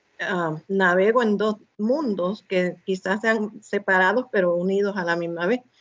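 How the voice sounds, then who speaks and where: Fairly even intonation and a fairly slow pace from a woman. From United States, Spanish-speaking family. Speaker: guest, bilingual community member. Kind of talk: interview conversation. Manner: halting, with many fillers.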